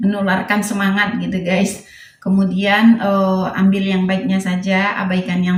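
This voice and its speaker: Amid noticeable background noise, a woman speaks at a moderate pace with a medium pitch. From West Sumatra, Padang. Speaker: vlogger, housewife. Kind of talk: casual vlog narration. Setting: at home.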